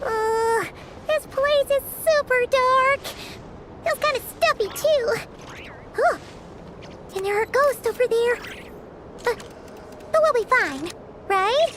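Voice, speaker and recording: A put-on character voice at an extremely high pitch and a fairly slow pace, with light background noise. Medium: video game. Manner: casual, slightly nervous.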